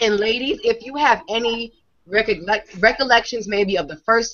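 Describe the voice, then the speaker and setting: The speaker talks in a New York accent with ordinary pitch variation. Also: woman. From New York, Brooklyn. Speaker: online beauty show host. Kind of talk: live video chat show. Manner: animated.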